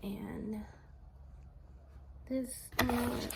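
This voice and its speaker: A woman is soft-spoken. Noticeable background noise is present. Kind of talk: ASMR unboxing talk to camera.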